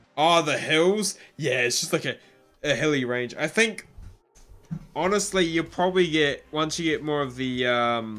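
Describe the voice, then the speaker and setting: With music in the background, a man with a New Zealand accent speaks at a fairly high pitch. His intonation is lively and his pace fairly slow. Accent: New Zealand, moderate. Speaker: gaming streamer. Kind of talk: live stream chat. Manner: casual, halting.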